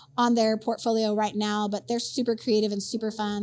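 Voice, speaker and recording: Noticeable background noise sits behind the speech. A woman talks at a very fast pace. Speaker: brewers association executive director. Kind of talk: podcast interview.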